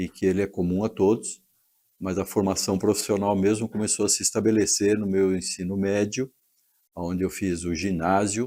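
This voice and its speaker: A man with a fairly low pitch speaks at a moderate pace in a dark, mellow tone. His delivery is flat and monotone, on a very clean recording with a silent background. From Joinville, Santa Catarina, southern Brazil. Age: 70s. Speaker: retired engineer and entrepreneur. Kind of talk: personal life story. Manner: halting, with many fillers.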